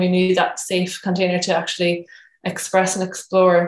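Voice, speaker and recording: A woman speaks in a Cork accent. Her pitch sits in the medium range. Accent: Cork Irish. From Ireland, Cork. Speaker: photographer and women's circle facilitator. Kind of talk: casual interview.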